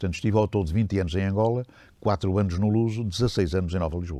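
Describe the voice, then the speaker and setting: Speaking at a very fast pace, a man has a dark, mellow tone. The background is quiet. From Portugal, Beira Interior. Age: 80s+. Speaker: retired radio journalist. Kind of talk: oral history interview. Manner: hesitant, many fillers.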